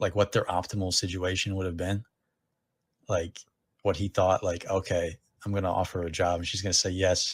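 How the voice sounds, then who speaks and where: A man with an American accent and a very deep, low pitch speaks in a monotone, flat, somewhat breathy voice at a fairly quick pace with long, frequent pauses, on a very clean, dry, close recording with no echo and a silent background. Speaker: podcast co-host. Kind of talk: casual chat.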